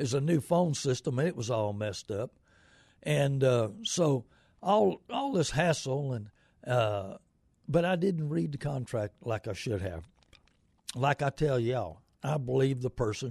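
With an American accent, a man talks at a fairly slow pace and medium pitch, somewhat breathy, with lively intonation and long, frequent pauses. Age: 70s. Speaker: radio host and used car dealer. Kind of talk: live call-in radio show. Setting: radio studio. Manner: rambling, halting with many fillers.

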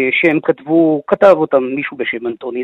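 His voice sits fairly high for a man. The pitch moves up and down in an ordinary way. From Israel, Nahalal. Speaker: author and biographer. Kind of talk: radio interview.

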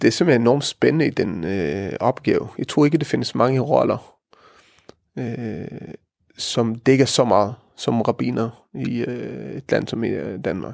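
A man's medium-pitched voice with vocal fry and lively intonation, at a very slow pace. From Israel. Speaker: rabbi. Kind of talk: interview. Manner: halting, many fillers.

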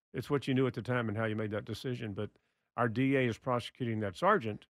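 With a Texan accent, a man talks at a very fast pace and keeps his intonation fairly even. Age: 70s. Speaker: former state official and gun-law advocate. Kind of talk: casual interview discussion. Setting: studio.

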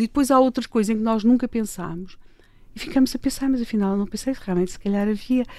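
In an ordinary speaking voice, a woman talks at a fairly quick pace and a fairly high pitch with ordinary pitch variation, on a very clean recording with a silent background. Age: 60s. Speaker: political commentator and columnist. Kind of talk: casual interview. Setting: radio studio.

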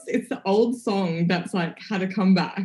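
A woman's somewhat breathy, dark, mellow voice with an Australian accent. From country Victoria, Australia. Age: 30s. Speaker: entrepreneur and lifestyle influencer. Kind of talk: podcast interview.

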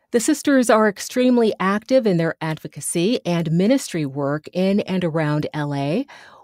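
A woman with a medium-pitched voice speaks at a moderate pace, her pitch swinging very widely. The recording is very clean, with a silent background and a dry, close sound with no echo. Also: hardly any pauses. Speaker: podcast host. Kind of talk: interview for news podcast.

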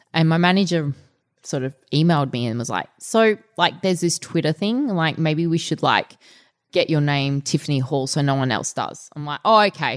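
A woman with an Australian accent at a very deep, low pitch, with lively intonation and a moderate pace, in a very clean recording with a silent background and a dry, close sound with no echo. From Australia, Melbourne (Essendon). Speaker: fitness trainer and martial artist. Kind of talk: interview. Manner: animated.

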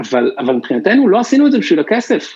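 Here a man talks at a very fast pace. His pitch swings very widely. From Israel, Bnei Brak. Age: 30s. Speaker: startup founder and CEO. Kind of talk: interview. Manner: halting.

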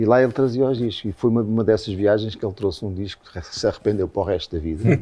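Speaking very fast, a man uses a fairly low pitch with a dark, mellow tone and ordinary pitch variation. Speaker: rock musician. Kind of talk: casual chat.

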